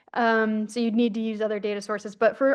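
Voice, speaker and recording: Speaking at a fairly quick pace over a quiet background, a woman has a fairly high pitch. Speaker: researcher. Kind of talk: conference presentation. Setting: conference session. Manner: fast.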